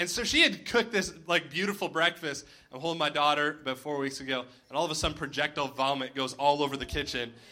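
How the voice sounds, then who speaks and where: Speaking very fast with a Canadian accent, a man has a fairly high pitch and ordinary pitch variation. Noticeable background noise is present. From Ontario, Canada (Cobourg). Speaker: pastor. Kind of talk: sermon. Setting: church with congregation.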